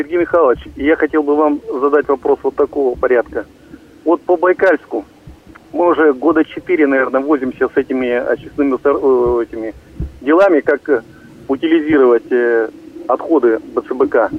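With noticeable background noise behind him, a man talks at a moderate pace with long, frequent pauses. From Russia, Irkutsk region. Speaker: caller. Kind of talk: call-in question.

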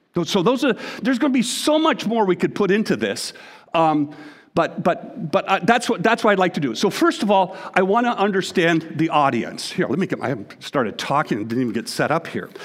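A man with a Canadian accent, high-pitched, with very wide pitch swings and a fairly quick pace. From Canada. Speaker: pastor. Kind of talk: sermon. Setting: church. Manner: halting.

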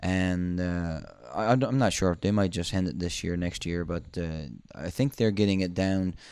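In a quiet background, a man with a Newfoundland accent speaks in a very deep, low pitch with ordinary pitch variation. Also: moderate pace. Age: 30s. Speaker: moose hunting guide and outfitter. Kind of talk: interview. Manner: halting.

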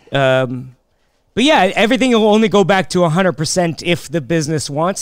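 At a moderate pace, a man speaks with lively intonation in an ordinary speaking voice. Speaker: comedian. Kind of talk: casual interview chat.

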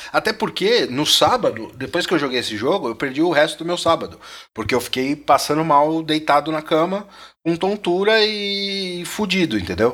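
In a very clean recording with a silent background, a man with a normal speaking voice talks at a moderate pace and fairly high pitch, his intonation lively. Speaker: podcast co-host, gamer. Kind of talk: casual chat.

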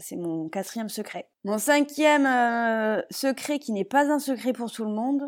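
At a fairly slow pace, a woman with a plain, everyday voice speaks at a fairly high pitch with lively intonation, on a very clean recording with a silent background. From western France and Paris region (Palaiseau). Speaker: parenting and games blogger. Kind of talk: casual solo podcast monologue.

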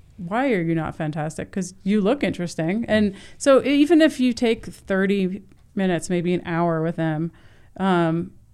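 With an American accent and a normal speaking voice, a woman talks at a medium pitch and a moderate pace. Her intonation is lively, and the recording is very clean with a silent background. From US Northeast (New Jersey). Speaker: photographer. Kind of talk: casual interview. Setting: studio.

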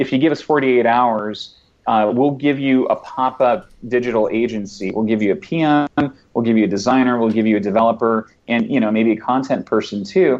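At a moderate pace, a man talks in a normal speaking voice of medium pitch, with ordinary pitch variation and very even loudness. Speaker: web agency founder and developer. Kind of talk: casual chat.

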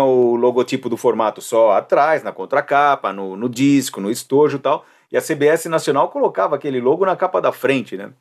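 A man with an ordinary speaking voice talks at a fairly high pitch and fairly quick pace, with ordinary pitch variation and hardly any pauses, on a very clean recording with a silent background. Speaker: podcast host. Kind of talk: casual chat.

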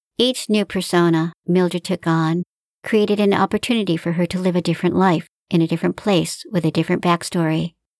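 A plain, everyday voice moves at a fairly quick pace with fairly even intonation and very even loudness. The recording is very clean with a silent background and a dry, close sound with no echo. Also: woman, fairly low pitch for a woman. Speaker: author and podcast host reading her own fiction. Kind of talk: literary audiobook reading of her own fiction, narrated with character dialogue. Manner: measured, storyteller pacing, warm and expressive narration.

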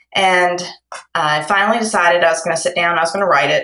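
With a Kentucky accent, a woman speaks at a fairly quick pace in a fairly low pitch. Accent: Kentucky Southern US. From Kentucky, Lexington. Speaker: romance novelist. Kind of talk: casual interview. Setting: phone call.

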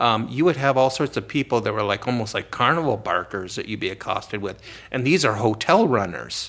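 A man with an American accent has an unremarkable speaking voice, a medium pitch and ordinary pitch variation. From US Midwest, Cleveland, Ohio. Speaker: professor and author. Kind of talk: interview.

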